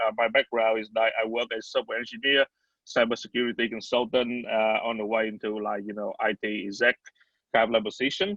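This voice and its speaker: A man speaks at a fairly quick pace and medium pitch with monotone, flat intonation. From Vietnam. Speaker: startup CEO. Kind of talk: virtual panel discussion. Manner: halting, many fillers.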